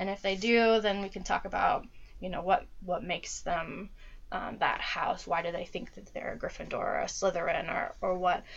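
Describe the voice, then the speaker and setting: A woman speaks at a moderate pace. She has a Midwestern US accent. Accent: General American (Midwestern). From US Midwest (Dayton, Ohio). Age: 20s. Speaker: social worker. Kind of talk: casual interview. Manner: hesitant, many fillers.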